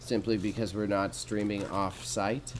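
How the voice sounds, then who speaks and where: There is audible room echo along with noticeable background noise. A man speaks in an animated tone. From Alberta, Canada. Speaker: streamer and small business owner. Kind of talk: casual live stream chat. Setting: warehouse space streaming. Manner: casual, animated.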